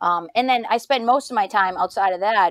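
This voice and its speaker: A woman with a Boston accent speaks at a fairly quick pace with ordinary pitch variation. The sound is dry and close, with no echo. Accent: thick Boston. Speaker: podcast host and doctoral student. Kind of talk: podcast interview.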